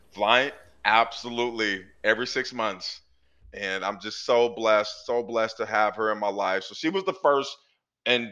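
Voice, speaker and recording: Against a quiet background, a man with a bright, sharp tone talks at a medium pitch and a moderate pace. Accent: American. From US Pacific Northwest, Portland, Oregon. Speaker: author and speaker, former prisoner. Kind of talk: interview, personal testimony.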